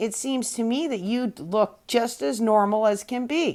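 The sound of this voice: Putting on a croaky character voice, a woman speaks at a fairly high pitch. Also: moderate pace.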